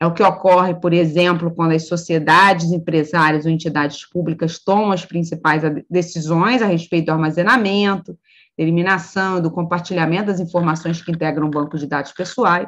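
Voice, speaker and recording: A woman's unremarkable speaking voice, fairly low in pitch, at a fairly quick pace with hardly any pauses and fairly even intonation. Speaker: law professor.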